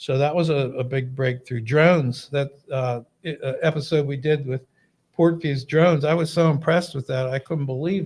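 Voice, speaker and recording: Moving at a moderate pace, a man with an American accent speaks at a fairly high pitch. His voice is somewhat breathy, with fairly even intonation. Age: 60s. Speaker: fire chief, podcast co-host. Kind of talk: casual chat.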